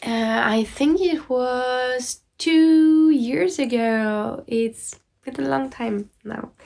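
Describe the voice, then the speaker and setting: The delivery is very slow yet has hardly any pauses. Pitch moves in an ordinary way. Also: woman, high pitch for a woman. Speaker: knitting podcaster. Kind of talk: casual chat. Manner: hesitant, many fillers.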